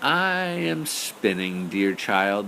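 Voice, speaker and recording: Over clear background noise, a man puts on a character voice at a fairly low pitch. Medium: read story.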